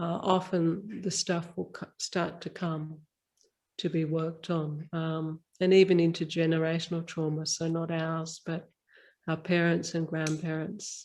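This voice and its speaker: A woman's fairly low-pitched, flat monotone at a fairly slow pace in a very clean recording with a silent background. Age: 50s. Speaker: spiritual mentor and body worker. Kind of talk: interview. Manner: halting.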